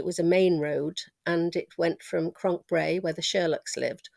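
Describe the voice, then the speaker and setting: A woman speaks with a Manx accent at a moderate pace. The recording is very clean with a silent background, the sound dry and close with no echo. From Isle of Man (Ramsey). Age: 70s. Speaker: interviewee sharing childhood memories. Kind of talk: oral history interview. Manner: conversational with frequent hesitations.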